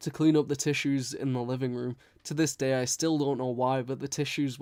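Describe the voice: The text is read aloud plainly with fairly even intonation.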